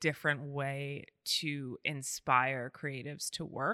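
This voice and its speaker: A woman with an American accent, very slow pace and a bright, sharp tone, in a very clean recording with a silent background and dry, close sound with no echo. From New York City, Brooklyn. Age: 30s. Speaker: agency founder. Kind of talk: casual chat.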